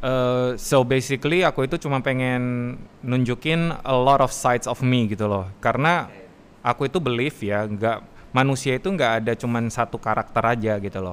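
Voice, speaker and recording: An unremarkable speaking voice from a man, pitched in the middle, with typical pitch movement. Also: moderate pace. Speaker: master of ceremonies and former radio announcer. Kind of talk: casual interview. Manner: code-switching with English.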